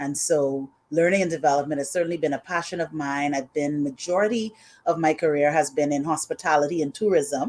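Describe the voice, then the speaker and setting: With a Bahamian accent, a woman speaks fairly quickly in a very deep, low voice. The recording is very clean, and the background is silent. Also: ordinary pitch variation. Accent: Bahamian accent noticeable. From Bahamas. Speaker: HR consultant. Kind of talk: live stream interview.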